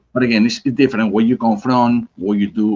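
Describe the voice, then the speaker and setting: Ordinary pitch variation marks this voice with a Spanish accent, recorded with a dry, close sound with no echo. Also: man. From Spain, Basque Country (Bilbao). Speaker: cigar company representative. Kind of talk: casual chat. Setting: live stream.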